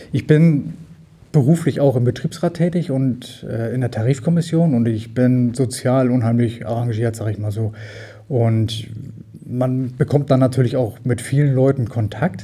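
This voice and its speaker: A man with a dark, mellow tone and a somewhat breathy voice speaks at a fairly slow pace. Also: medium pitch for a man, ordinary pitch variation. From Düsseldorf area, western Germany. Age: 50s. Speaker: volunteer fire brigade chief. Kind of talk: interview.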